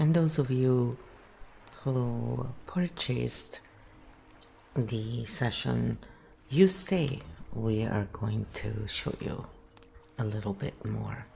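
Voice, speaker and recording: A man speaks very slowly in an Italian accent, with long, frequent pauses. Noticeable background noise runs underneath. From Italy, near Verona. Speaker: livestream host, archetype coach. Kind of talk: casual chat. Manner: animated.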